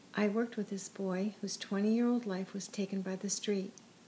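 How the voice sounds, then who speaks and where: This woman's voice sits at a medium pitch and is somewhat breathy. She talks at a moderate pace in a monotone, flat intonation. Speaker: narrator reading her own written piece. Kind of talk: literary audiobook reading. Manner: earnest and somber, measured narration.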